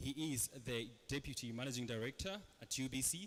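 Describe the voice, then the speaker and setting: With a Ugandan accent, a man talks at a medium pitch. His pitch variation is ordinary. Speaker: panel moderator. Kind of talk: panel discussion moderation.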